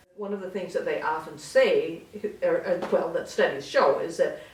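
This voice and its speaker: Noticeable background noise and audible room echo around a speaking woman. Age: 60s. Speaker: senior co-op resident. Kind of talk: casual interview.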